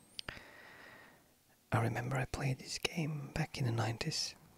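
Whispering in a calm tone, the speaker goes at a very slow pace. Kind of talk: soft-spoken ASMR gameplay commentary. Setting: home recording, commentary over gameplay. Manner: soft-spoken, calm, relaxing.

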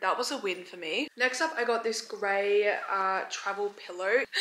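A woman speaks at a fairly slow pace. Room echo can be heard. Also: ordinary pitch variation. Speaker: vlogger. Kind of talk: casual haul vlog chat. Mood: cheerful, relaxed. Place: home room. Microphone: phone near.

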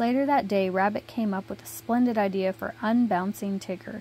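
At a moderate pace, a woman speaks in a dark, mellow, somewhat breathy tone, the sound dry with no echo. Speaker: reader of a children's book. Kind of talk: storybook read-aloud. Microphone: phone near.

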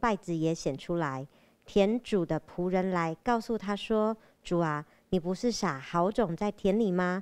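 Recorded very cleanly against a silent background, a woman at medium pitch speaks very slowly, with ordinary pitch variation and big swings in loudness. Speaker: scripture reader and prayer repeater. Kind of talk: reading aloud. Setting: church.

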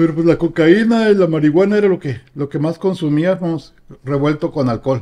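A man's high-pitched, dark and mellow voice with a Mexican accent, at a moderate pace with hardly any pauses, ordinary pitch variation and big swings in loudness, against a quiet background. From Mexico. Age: 50s. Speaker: recovered addict; guest. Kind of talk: testimony. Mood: reflective, calm. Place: home room. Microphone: studio mic.

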